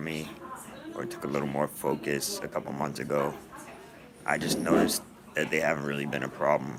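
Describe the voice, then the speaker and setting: Very deep and low, a man's voice moves at a fairly quick pace. Noticeable background noise sits behind it. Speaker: vlogger with a neuromuscular condition. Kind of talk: personal video diary. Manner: halting, many fillers.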